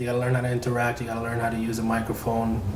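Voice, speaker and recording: A man talks in a mid-range pitch, with clear background noise behind him. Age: young. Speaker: singer. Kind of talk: interview answer.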